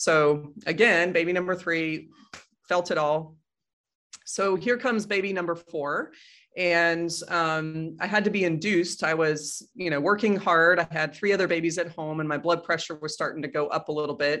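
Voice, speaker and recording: A woman with an American accent uses a normal speaking voice, fairly low in pitch, with fairly even intonation at a moderate pace against a quiet background. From Colorado, US. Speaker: physician and author. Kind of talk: interview conversation.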